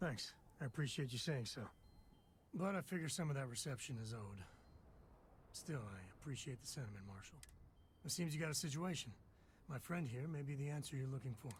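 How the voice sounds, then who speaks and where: A man puts on a raspy character voice at a medium pitch, with lively intonation and a fairly quick pace. Long, frequent pauses break it up, and background noise is clearly audible. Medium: video game. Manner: laid-back.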